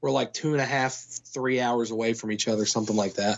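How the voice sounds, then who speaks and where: Using a normal speaking voice, a man with an American accent talks fairly quickly with fairly even intonation. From Kentucky, United States. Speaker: film producer. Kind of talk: interview answer. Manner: conversational, casual.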